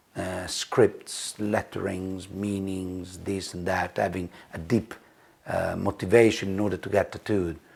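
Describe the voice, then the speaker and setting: A man with an Italian accent speaks fairly slowly in a very deep, low voice with monotone, flat intonation. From Italy. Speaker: tattoo artist and designer. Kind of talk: casual chat while cooking. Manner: halting, many fillers.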